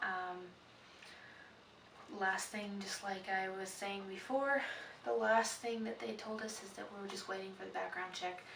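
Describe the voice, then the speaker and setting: Quiet and at a moderate pace, a woman with a medium pitch speaks amid audible room echo and noticeable background noise. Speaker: vlogger, prospective foster parent. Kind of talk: casual vlog. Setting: indoors at home at night. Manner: quiet, hushed; hesitant, many fillers.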